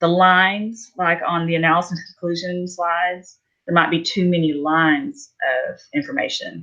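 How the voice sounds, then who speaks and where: An ordinary speaking voice moves at a fairly slow pace with ordinary pitch variation over a quiet background. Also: woman. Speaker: student giving peer feedback. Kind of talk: casual peer feedback.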